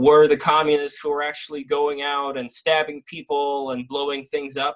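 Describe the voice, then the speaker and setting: With an American accent, a man speaks at a fairly high pitch with fairly even intonation. It is a normal speaking voice. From US, childhood emigrant from St. Petersburg, Russia. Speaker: animation director and content creator. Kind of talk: casual debate podcast chat.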